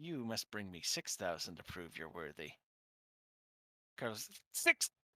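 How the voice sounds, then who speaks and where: Using a raspy, put-on character voice, a man talks at a moderate pace and fairly low pitch with lively intonation. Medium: actual play.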